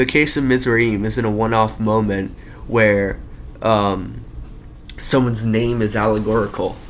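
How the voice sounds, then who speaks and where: A man speaks at a moderate pace, and noticeable background noise can be heard throughout. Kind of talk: casual talk explaining an argument. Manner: stutters, halting.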